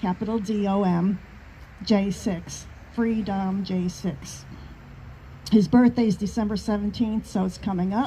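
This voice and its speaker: A woman with a New York accent speaks at medium pitch and a fairly slow pace, with fairly even intonation and long, frequent pauses. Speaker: activist group member. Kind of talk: casual chat.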